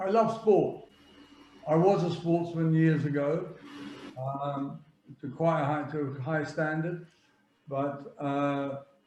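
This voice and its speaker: Audible room echo surrounds a man with a fairly high pitch and ordinary pitch variation. He talks at a very slow pace with long, frequent pauses. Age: 70s. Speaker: football agent. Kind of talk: interview. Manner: halting.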